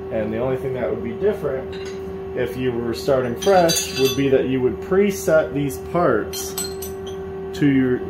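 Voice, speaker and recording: A man delivers his words fairly slowly while loud background noise fills the recording. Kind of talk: tutorial. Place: workshop.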